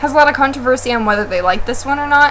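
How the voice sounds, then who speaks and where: Over noticeable background noise, a woman uses a raised, projected voice with ordinary pitch variation. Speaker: book blogger. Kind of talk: casual chat. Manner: loud.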